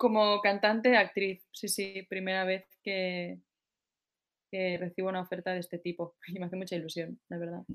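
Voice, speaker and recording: A woman talks at a moderate pace and medium pitch. Her delivery is monotone and flat. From Spain, Barcelona. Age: 30s. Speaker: singer. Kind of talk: interview.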